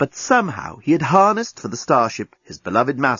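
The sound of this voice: The background is quiet. The speaker uses an unforced reading voice.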